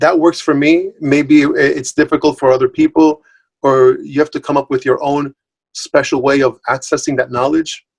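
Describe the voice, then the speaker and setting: A dry, close sound with no echo frames speech delivered at a moderate pace. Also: man. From Puerto Rico and mainland US. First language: Spanish. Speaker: multilingual language professional, guest speaker. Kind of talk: online talk Q&A. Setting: video call. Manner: conversational with many fillers and repetitions.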